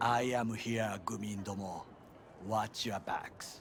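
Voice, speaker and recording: Using a put-on character voice, a man speaks raspy and monotone at a medium pitch and fairly slow pace, with flat intonation over clear background noise. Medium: machinima. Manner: formal, clipped, avoids contractions.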